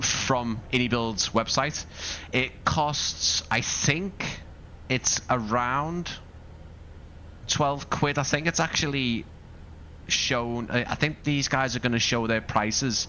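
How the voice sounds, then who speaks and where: In a Scouse accent, a man of medium pitch speaks very slowly with long, frequent pauses, very even loudness and ordinary pitch variation. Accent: Scouse, moderate. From Liverpool, northern England. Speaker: flight sim streamer. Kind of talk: live stream commentary. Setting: live stream. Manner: casual, chatty.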